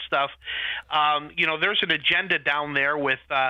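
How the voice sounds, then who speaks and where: A man talks loudly at a moderate pace. Noticeable background noise can be heard. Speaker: family policy advocate. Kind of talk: radio interview.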